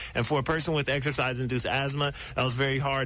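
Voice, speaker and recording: A man with an American accent and medium pitch speaks at a very fast pace, with audible room echo. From US Midwest, Columbus, Ohio. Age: 20s. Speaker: professional basketball player. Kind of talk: radio interview.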